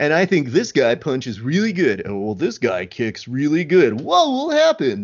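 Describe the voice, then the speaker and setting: A man with fairly high pitch, speaking at a moderate pace. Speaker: podcast host. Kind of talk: casual interview chat. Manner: joking, sarcastic.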